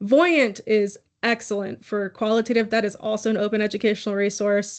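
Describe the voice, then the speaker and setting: A woman with a Texas accent, over a quiet background. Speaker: academic researcher presenter. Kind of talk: conference Q&A answer. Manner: casual, hesitant with fillers.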